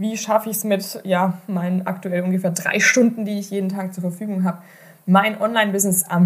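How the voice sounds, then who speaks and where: A somewhat breathy woman speaks at a fairly quick pace in a medium pitch. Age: 30s. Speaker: online marketing podcast host. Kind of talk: solo podcast monologue. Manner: animated.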